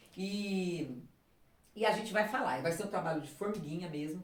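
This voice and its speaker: A woman's pitch varies in an ordinary way as she talks amid noticeable background noise and audible room echo. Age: 60s. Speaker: political candidate and teacher. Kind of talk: casual interview. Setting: at home. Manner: halting, frequent fillers and repetitions.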